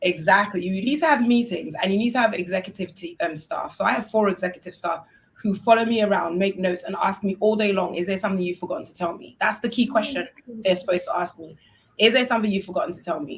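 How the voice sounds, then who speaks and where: Animated in tone, a woman talks at a very fast pace with ordinary pitch variation. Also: medium pitch for a woman, big swings in loudness. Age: 30s. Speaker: university dean and entrepreneur. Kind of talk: panel discussion.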